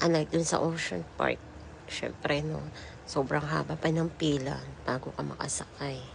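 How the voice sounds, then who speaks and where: Noticeable background noise surrounds speech delivered at a moderate pace. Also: woman. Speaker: vlogger. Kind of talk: voice-over vlog narration. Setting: voice-over recorded later. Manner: casual, chatty.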